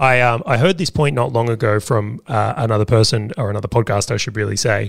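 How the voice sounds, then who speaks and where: Very cleanly recorded against a silent background, a man talks at a fairly quick pace. He has an Australian accent and medium pitch. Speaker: podcast co-host, business owner. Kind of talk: casual chat.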